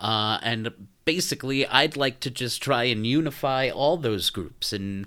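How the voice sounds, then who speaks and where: On a very clean recording with a silent background, a man with a New York accent speaks at a very slow pace with ordinary pitch variation. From New York City (Brooklyn). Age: 40s. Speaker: podcast host. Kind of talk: casual monologue.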